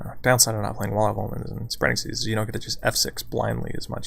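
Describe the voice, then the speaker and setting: Quiet and very fast, a man talks over noticeable background noise. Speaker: gaming streamer. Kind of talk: gameplay commentary.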